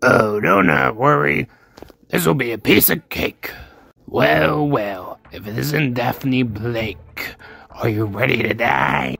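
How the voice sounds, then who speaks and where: Someone performs in a put-on character voice. The delivery moves at a fairly slow pace. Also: man, fairly low pitch for a man. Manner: taunting, smug.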